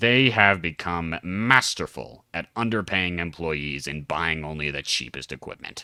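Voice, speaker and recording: A man's gruff, put-on character voice, very deep and low, with lively intonation at a moderate pace, on a very clean recording with a silent background. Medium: read story. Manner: mocking, lecturing.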